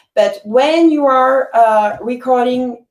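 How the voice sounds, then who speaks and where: A woman's high voice with very wide pitch swings and a French accent. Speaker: musician. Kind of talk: interview. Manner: halting.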